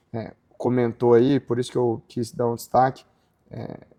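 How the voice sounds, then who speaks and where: The delivery comes at a moderate pace with a dark, mellow tone and monotone, flat intonation. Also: man, long, frequent pauses. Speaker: podcast host, founder of agribusiness legal portal. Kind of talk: casual interview conversation.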